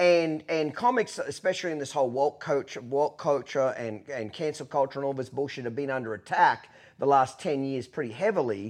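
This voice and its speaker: In an Australian accent, a man talks at a fairly quick pace with a fairly high pitch and ordinary pitch variation over a quiet background. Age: 40s. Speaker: podcast host. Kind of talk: casual chat. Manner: blunt, profane.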